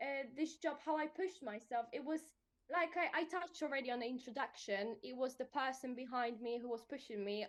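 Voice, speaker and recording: A woman with a Polish accent, high-pitched, at a fairly quick pace. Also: ordinary pitch variation. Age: 20s. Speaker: protection adviser. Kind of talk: casual interview. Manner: animated.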